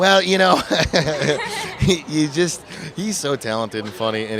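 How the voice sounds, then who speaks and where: A man with an American accent talks with lively intonation over crowd noise in the background. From Phoenix, Arizona, US. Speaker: film director. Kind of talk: red carpet interview. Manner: hesitant, with fillers.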